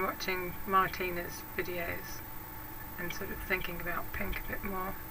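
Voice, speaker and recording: Speaking very slowly with a British accent, a woman keeps a medium pitch and fairly even intonation while noticeable background noise runs underneath. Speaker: craft YouTuber. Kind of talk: casual vlog talk answering tag questions. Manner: hesitant, with many fillers.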